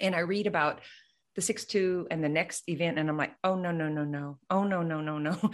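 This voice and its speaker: A woman with a plain, everyday voice, fairly low in pitch, at a fairly quick pace with fairly even intonation. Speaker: mind body coach and business mentor. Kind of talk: casual interview conversation.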